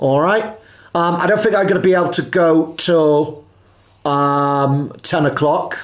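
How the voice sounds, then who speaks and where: With ordinary pitch variation and a fairly high pitch, a man's voice rings with audible room echo. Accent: Welsh. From South Wales (Pembrokeshire). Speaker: gaming live streamer. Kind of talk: live gameplay commentary. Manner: halting.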